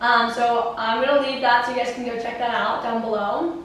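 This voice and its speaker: A loud woman with a high pitch speaks at a moderate pace, with audible room echo and noticeable background noise. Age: 20s. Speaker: YouTube vlogger. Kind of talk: casual chat. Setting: home kitchen.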